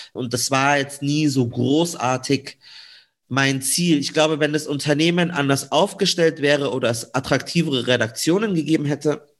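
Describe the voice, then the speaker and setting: In a plain, everyday voice, a man speaks at a moderate pace with fairly high pitch and fairly even intonation. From Munich, Bavaria. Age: 20s. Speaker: radio and TV journalist. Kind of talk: interview.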